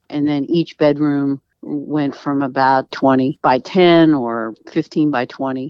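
Speaking very slowly, a woman talks in an American accent. Her pitch varies in an ordinary way. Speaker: homeowner and interior designer. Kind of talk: interview. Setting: phone call.

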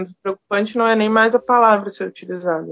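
An unremarkable speaking voice talks with ordinary pitch variation. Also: woman. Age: 30s. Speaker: microbiologist and university lecturer. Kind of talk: podcast interview.

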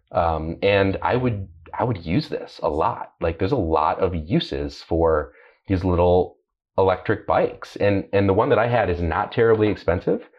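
Breathiness shows somewhat in this man's voice. He keeps a moderate pace, and his pitch varies in an ordinary way. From Columbus, Ohio, US Midwest. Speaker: senior editor, car journalist. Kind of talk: casual chat, podcast discussion.

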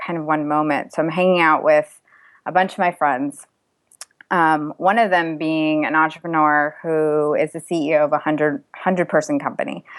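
An unremarkable speaking voice from a woman with an American accent, fairly low in pitch, with ordinary pitch variation. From US, raised from age two, Indian family. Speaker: mindfulness course founder, engineer, entrepreneur. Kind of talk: podcast interview.

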